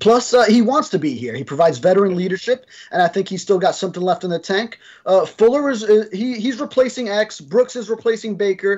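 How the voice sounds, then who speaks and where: A man talks fairly quickly, and the background around him is quiet. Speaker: sports reporter co-host. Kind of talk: sports discussion commentary. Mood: relaxed, upbeat. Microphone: video call.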